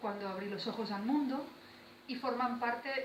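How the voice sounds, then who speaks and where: Noticeable background noise and audible room echo surround the speaker. A woman talks at a fairly slow pace. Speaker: poet. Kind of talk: talk to school students. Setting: school visit with students. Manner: conversational with hesitations.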